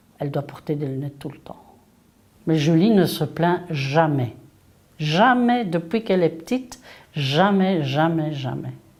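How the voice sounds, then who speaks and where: Speaking at a fairly slow pace, a woman uses lively intonation, her volume rising and falling sharply between long, frequent pauses. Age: 60s. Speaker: parent of an athlete. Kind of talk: interview.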